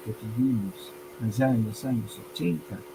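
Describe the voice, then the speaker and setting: A man at a fairly slow pace. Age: 60s. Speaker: language teacher and entrepreneur. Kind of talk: interview conversation.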